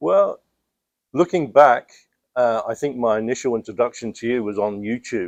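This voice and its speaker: Speaking with a London accent at a moderate pace, a man uses a medium pitch and ordinary pitch variation, leaving long, frequent pauses, in a dry, close sound with no echo against a quiet background. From London, England. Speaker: student, aspiring pressure washing business owner. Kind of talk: interview. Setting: in person. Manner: hesitant, many fillers.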